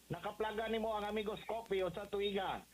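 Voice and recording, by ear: A man talks fast at a high pitch with fairly even intonation and audible room echo.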